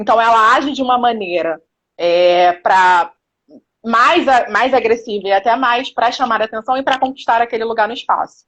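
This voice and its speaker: Lively intonation marks this woman's ordinary speaking voice, pitched fairly high. She keeps a moderate pace. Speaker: women's empowerment speaker. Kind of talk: live stream interview. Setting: live stream.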